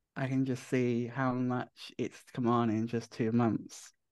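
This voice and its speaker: Against a quiet background, a man with an ordinary speaking voice talks at a medium pitch with fairly even intonation. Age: 20s. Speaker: young person in supported housing. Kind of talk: interview.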